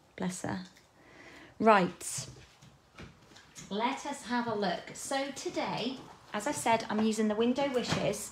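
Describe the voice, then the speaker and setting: In a room with audible echo, a woman speaks at a very slow pace with long, frequent pauses, her fairly high voice carrying lively intonation. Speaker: card-making demonstrator. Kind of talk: live crafting tutorial. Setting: livestream from craft desk. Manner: casual, chatty.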